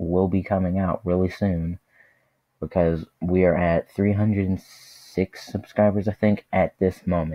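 Flat and monotone in intonation, a man's voice sits at a very deep, low pitch. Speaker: YouTube vlogger and gamer. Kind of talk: channel trailer, casual monologue. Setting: home, speaking to camera.

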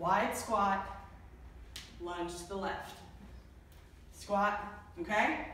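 The speech moves at a very slow pace with big swings in loudness. Audible room echo and light background noise are present. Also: woman. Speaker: fitness instructor. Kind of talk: workout instruction. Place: gym. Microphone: camera far.

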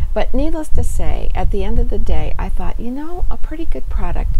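A woman talks while clear background noise is heard. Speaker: beauty vlogger. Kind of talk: product review vlog chat. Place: home room. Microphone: lapel.

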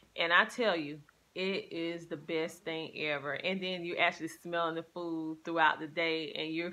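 Fairly low in pitch, a woman speaks at a moderate pace with a bright, sharp tone and fairly even intonation.

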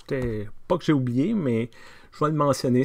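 A man at a very slow pace with ordinary pitch variation, over a quiet background. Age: 50s. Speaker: pastor. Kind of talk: casual video diary. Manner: hesitant, many fillers. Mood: warm, upbeat. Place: office. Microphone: webcam.

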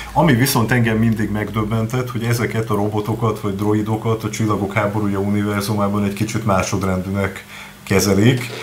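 The speech comes at a fairly quick pace. Light background noise can be heard. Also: man. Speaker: Star Wars fan expert. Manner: enthusiastic. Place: studio. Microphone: studio mic.

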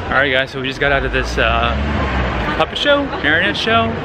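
A man talks very fast while noticeable background noise carries on around him. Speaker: travel vlogger. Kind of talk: casual vlog chat. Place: street. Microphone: phone near.

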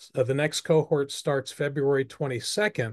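A man speaks in a normal speaking voice at a fairly slow pace. His intonation is fairly even against a quiet background. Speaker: webinar host, movement founder. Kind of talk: online presentation and Q&A. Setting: video call. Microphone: video call.

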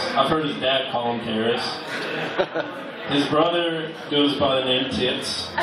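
Amid noticeable background noise and audible room echo, a man talks with hardly any pauses. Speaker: stand-up comedian. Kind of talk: stand-up comedy set with crude, offensive jokes. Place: bar.

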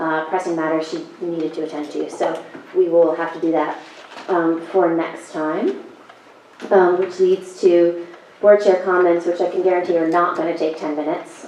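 Over noticeable background noise and audible room echo, a woman speaks in a fairly low, monotone, flat voice with long, frequent pauses. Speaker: planning board chair. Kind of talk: public meeting chairing. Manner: fast.

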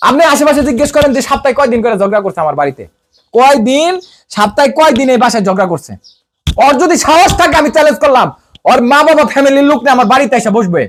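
This man's voice sits extremely high and moves with lively intonation. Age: 30s. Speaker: interviewee. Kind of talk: emotional testimony.

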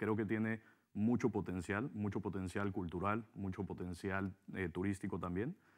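A man speaks in a plain, everyday voice at a fairly low pitch. His intonation is fairly even and his pace moderate. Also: quiet background. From Mexico. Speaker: hotel businessman; interview guest. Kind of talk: interview. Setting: TV studio. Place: studio. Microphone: lapel.

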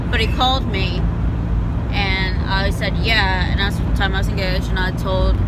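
With loud background noise and a dry sound with no echo, a woman speaks at a moderate pace. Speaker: vlogger on road trip. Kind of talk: casual vlog chat. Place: car. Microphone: phone near.

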